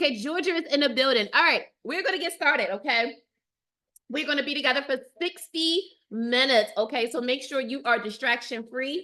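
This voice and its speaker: A woman projects her voice, raising it loudly. Her high pitch carries a bright, sharp tone. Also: ordinary pitch variation, fairly quick pace. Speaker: dating coach. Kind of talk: live webinar. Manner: animated.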